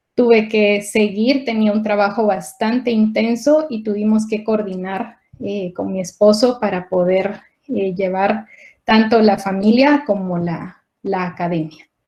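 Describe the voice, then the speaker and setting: A woman speaking fairly slowly, with ordinary pitch variation. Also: medium pitch for a woman. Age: 40s. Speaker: scientist. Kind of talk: conference talk. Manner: halting.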